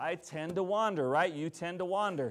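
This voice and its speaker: A man talks at a moderate pace, his fairly high voice showing ordinary pitch variation. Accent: American. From US Midwest, Minnesota. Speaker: pastor. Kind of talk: sermon.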